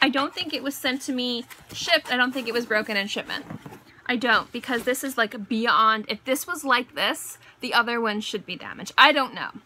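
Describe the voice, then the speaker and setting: Over noticeable background noise, a woman talks at a fairly quick pace in a high pitch with ordinary pitch variation. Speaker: beauty vlogger. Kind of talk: casual haul video monologue.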